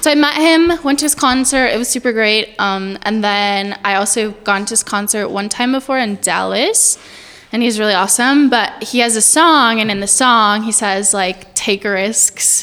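A fairly high-pitched woman's voice against noticeable background noise. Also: ordinary pitch variation, moderate pace. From eastern New Mexico (Portales). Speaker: wedding videographer. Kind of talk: casual chat.

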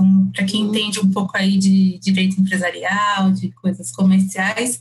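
A woman with a Bahian accent. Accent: Bahian Brazilian Portuguese. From Salvador, Bahia, Brazil. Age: 30s. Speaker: lawyer turned entrepreneur. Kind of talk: casual chat.

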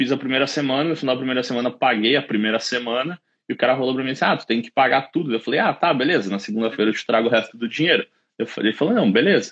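The man talks very fast, his medium pitch moving with ordinary variation. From southern Brazil (Caxias do Sul, Rio Grande do Sul). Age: 30s. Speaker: site engineer. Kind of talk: casual interview on a livestream. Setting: live video stream.

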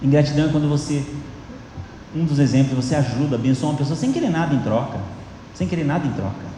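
A man talking at a very fast pace with long, frequent pauses, amid noticeable background noise and audible room echo. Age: 50s. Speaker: pastor. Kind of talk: sermon.

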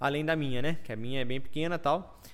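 A man has an unremarkable speaking voice, fairly high in pitch with ordinary pitch variation. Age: 30s. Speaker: farmer and agro influencer. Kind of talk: casual interview. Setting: studio, livestream.

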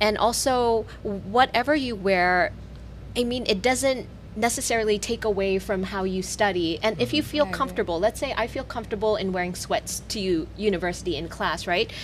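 Lively intonation marks this speaker with an American accent. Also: woman, medium pitch for a woman, fairly quick pace. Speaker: radio co-host.

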